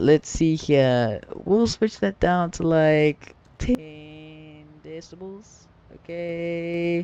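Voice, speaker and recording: A man with an American accent speaks in a high pitch at a very slow pace. The sound is dry and close, with no echo. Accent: viewers say British-sounding; he hears none. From US South. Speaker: flight sim streamer. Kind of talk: casual live stream chat.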